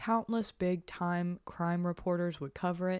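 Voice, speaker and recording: A woman with a plain, everyday voice of fairly low pitch speaks at a moderate pace in a very clean recording with a silent background, the sound dry and close with no echo. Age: 30s. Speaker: true crime podcast co-host. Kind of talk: scripted narration with casual chat.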